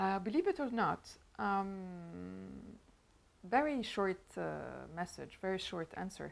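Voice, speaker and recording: In a very clean recording with a silent background, a woman with a French accent speaks at a very slow pace, leaving long, frequent pauses. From Lebanon. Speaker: show host. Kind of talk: interview chat. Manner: halting, many fillers.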